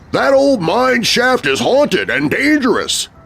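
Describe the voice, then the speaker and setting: Putting on a character voice, a man speaks at a fairly slow pace with an extremely high pitch. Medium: read story. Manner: folksy, jovial.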